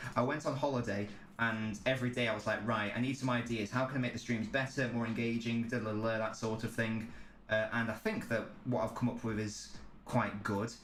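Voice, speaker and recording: Over noticeable background noise and audible room echo, a man talks at a fairly quick pace in a medium pitch with flat, monotone intonation. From England. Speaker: football streamer. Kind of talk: live stream chat. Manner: casual, filler-heavy.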